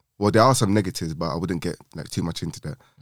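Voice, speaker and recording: On a very clean recording with a silent background, a man with a London accent talks very fast at a fairly low pitch with ordinary pitch variation. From London, England. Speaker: podcast co-host. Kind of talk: casual chat. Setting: studio.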